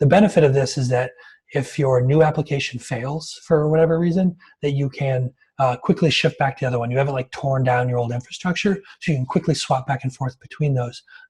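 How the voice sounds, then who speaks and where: Somewhat breathy and fairly high in pitch, a man talks at a very fast pace. His pitch variation is ordinary. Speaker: developer advocate. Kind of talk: technical talk.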